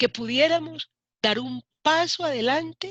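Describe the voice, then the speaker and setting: At a very slow pace, a woman with vocal fry and a bright, sharp tone speaks in a dry, close sound with no echo. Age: 60s. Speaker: human rights activist and politician. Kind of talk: interview.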